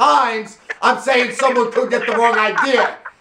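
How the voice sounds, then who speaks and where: A loud, animated man's voice at an extremely high pitch, with noticeable background noise. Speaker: radio show host. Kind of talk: casual phone-in chat.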